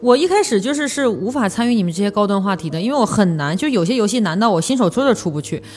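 Talking at a very fast pace with hardly any pauses, a woman uses a medium pitch with very wide pitch swings. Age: 30s. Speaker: podcast host, advertising professional. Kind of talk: casual chat.

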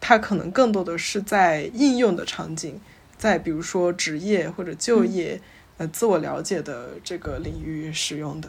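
A woman talks at a moderate pace in an ordinary speaking voice, fairly low in pitch. Her intonation is lively, with big swings in loudness. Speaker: psychology researcher. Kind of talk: casual chat.

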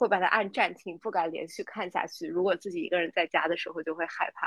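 A woman talks at a fairly quick pace at a medium pitch, in a plain, everyday voice. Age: 30s. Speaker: podcast co-host. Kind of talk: casual chat.

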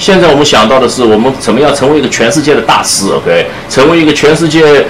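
Heard over noticeable background noise and audible room echo, a man speaks very fast. His pitch is fairly high, and his intonation is lively. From Shanghai, China. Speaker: double bassist and music professor. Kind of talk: public talk with audience Q&A. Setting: room with live audience. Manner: hesitant, many fillers and code-switching to English. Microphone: speaking without a microphone.

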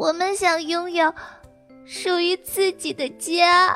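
A soft-spoken woman uses a put-on character voice at an extremely high pitch and a fairly slow pace. Faint music sits in the background. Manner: choked up, soft.

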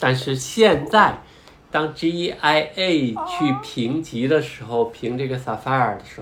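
The man talks fairly slowly with ordinary pitch variation as noticeable background noise carries on. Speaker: podcast host and parent. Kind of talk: casual educational chat.

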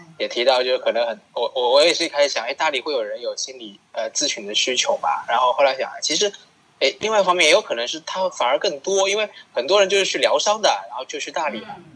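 Over noticeable background noise, the speech comes at a very fast pace. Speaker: co-host, counselor. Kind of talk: casual interview chat.

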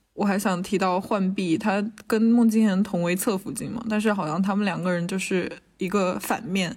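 On a very clean recording with a silent background, a woman speaks at a medium pitch and moderate pace, somewhat breathy, with fairly even intonation. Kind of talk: casual chat. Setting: university building lobby during lockdown.

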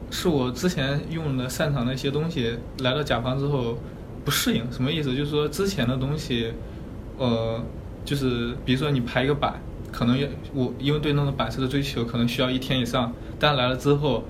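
Amid noticeable background noise and audible room echo, a man speaks fairly quickly with fairly even intonation. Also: medium pitch for a man. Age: 20s. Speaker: graphic designer. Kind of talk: casual career consultation chat. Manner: halting, many fillers.

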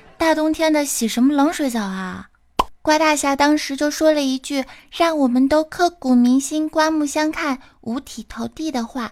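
A woman speaks with a high pitch at a moderate pace. Her pitch varies in an ordinary way. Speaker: podcast host. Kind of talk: comedic chat show.

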